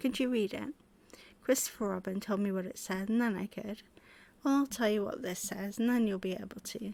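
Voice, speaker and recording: A soft-spoken woman with a British accent talks at a medium pitch and a fairly quick pace, her intonation fairly even. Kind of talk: bedtime story reading.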